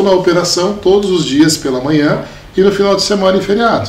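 A man talks at a fairly quick pace over noticeable background noise, with audible echo from the room. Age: 40s. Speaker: municipal secretary and entrepreneur. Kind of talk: interview. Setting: studio.

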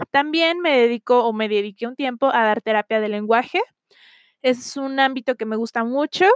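A woman speaks in a high voice at a moderate pace with ordinary pitch variation. The sound is dry and close, without echo. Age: 20s. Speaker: podcast host, psychology student. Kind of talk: casual monologue introduction.

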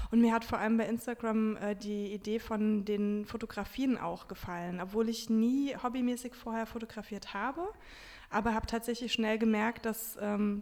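A woman speaks with a plain, everyday voice. Her pace is moderate and her intonation fairly even. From Germany, Wiesbaden (Hesse). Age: 30s. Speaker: book blogger and journalist. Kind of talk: interview.

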